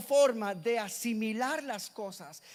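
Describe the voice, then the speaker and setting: Talking at a very slow pace, a man uses an extremely high pitch with ordinary pitch variation. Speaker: pastor. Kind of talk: sermon.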